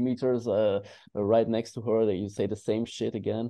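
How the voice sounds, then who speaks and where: Fairly even in intonation, a man speaks with a fairly low pitch and a non-native accent. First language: not English. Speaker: dating coach. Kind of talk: panel discussion. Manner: halting.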